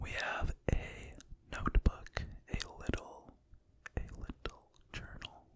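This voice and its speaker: Whispering comes at a very slow pace, broken by long, frequent pauses. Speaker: ASMR creator. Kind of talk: ASMR whispering.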